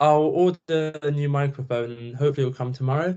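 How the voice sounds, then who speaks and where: A man speaks with a British accent at a fairly high pitch. His intonation stays fairly even. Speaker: student. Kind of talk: self-introduction in online class. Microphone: laptop microphone, own mic broken.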